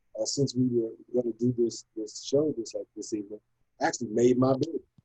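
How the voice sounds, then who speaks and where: A man's medium-pitched, somewhat breathy voice with a dark, mellow tone at a fairly quick pace. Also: dry, close sound with no echo. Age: 60s. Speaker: talk show panelist. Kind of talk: casual chat.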